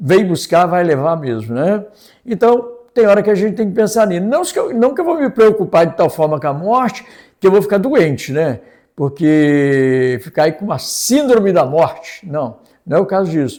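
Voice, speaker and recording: A man with a high pitch speaks in a dark, mellow tone. His pitch swings very widely at a moderate pace. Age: 70s. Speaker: lay preacher. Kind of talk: sermon. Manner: conversational.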